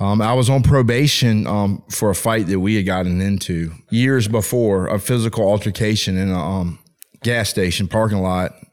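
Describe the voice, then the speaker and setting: A man with an American accent, at a moderate pace and with fairly even intonation. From Richmond, Virginia. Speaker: former addict, ministry leader. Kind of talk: testimony. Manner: halting.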